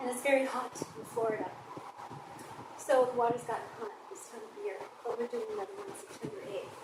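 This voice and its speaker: Her high-pitched voice swings very widely in pitch and varies greatly in loudness as the woman speaks at a fairly quick pace with long, frequent pauses. Noticeable background noise and audible room echo fill the recording. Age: 60s. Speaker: swimming and dance instructor. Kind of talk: casual monologue. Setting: outdoors at a pool.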